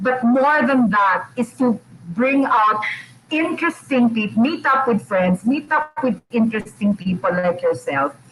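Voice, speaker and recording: At a moderate pace, the voice moves through very wide pitch swings against noticeable background noise. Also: woman. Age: 60s. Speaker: radio host. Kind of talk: casual chat.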